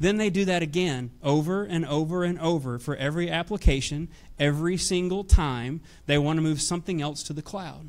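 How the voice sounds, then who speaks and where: On a very clean recording with a silent background, a man with a Nashville accent talks at a fairly quick pace, with a fairly high pitch and ordinary pitch variation. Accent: Southern US (Nashville). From US South, Nashville, Tennessee. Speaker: technology executive. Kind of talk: conference talk. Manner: hesitant, many fillers.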